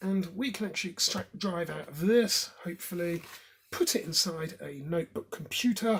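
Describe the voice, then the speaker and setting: A high-pitched man with a British accent, ordinary pitch variation, big swings in loudness and a moderate pace. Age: 30s. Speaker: tech hobbyist video maker. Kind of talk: tutorial. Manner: casual, with hesitations.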